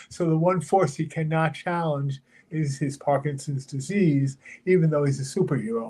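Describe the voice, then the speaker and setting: Somewhat breathy, this man speaks with fairly high pitch. His intonation stays fairly even. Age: 70s. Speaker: comic book writer with Parkinson's. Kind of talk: casual chat. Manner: halting.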